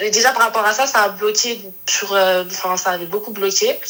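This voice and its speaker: Against noticeable background noise, a woman speaks at a fairly slow pace with fairly even intonation. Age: 20s. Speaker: caller. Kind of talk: casual chat. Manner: halting.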